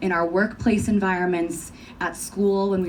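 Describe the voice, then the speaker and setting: In an American accent, a woman with a fairly low pitch talks at a moderate pace, with audible room echo. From New York. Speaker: conference presenter. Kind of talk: conference talk.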